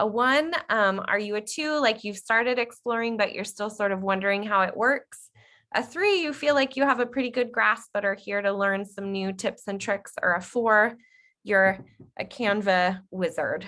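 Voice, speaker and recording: Speaking at a moderate pace, a woman has a plain, everyday voice, pitched fairly high with ordinary variation. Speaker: workshop trainer. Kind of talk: online workshop tutorial.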